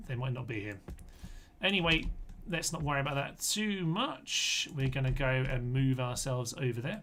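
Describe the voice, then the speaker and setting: Spoken at a moderate pace with ordinary pitch variation, the voice carries audible room echo. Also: man. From England. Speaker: video game streamer. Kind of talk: live gameplay commentary. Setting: livestream from a relative's computer. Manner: animated.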